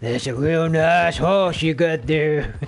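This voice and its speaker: Fairly slow, fairly high-pitched put-on character voice from a man. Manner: creepy.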